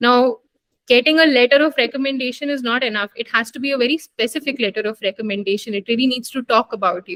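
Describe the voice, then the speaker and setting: Fairly quick speech from a woman with an Indian accent, high pitch, ordinary pitch variation and a dry, close sound with no echo. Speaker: doctor, medical graduate. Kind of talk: interview. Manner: hesitant fillers.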